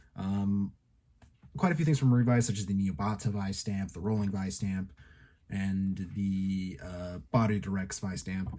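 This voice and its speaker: Dark and mellow in tone, a man's fairly low voice moves slowly, with ordinary pitch variation. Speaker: YouTuber, toy and tokusatsu reviewer. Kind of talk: casual channel update monologue. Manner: halting, many fillers.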